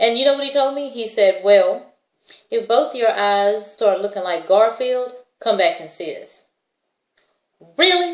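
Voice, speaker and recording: A woman speaks at a fairly slow pace with long, frequent pauses and big swings in loudness. Her fairly high pitch moves with lively intonation. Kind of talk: testimony. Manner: casual conversational.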